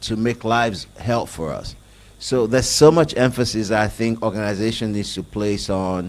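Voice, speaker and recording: At a medium pitch and moderate pace, a man talks with ordinary pitch variation. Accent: Nigerian. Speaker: IT business executive. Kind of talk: panel discussion.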